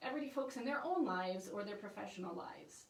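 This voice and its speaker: With audible room echo around her, a woman speaks with ordinary pitch variation. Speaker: newspaper reporter. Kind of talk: informational presentation. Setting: Facebook livestream. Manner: fast; animated.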